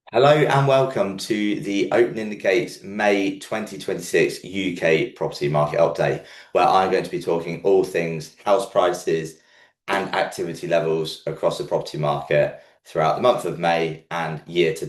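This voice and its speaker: A man puts on a croaky, raspy character voice at a fairly low pitch. He speaks at a moderate pace. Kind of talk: presenter, informative.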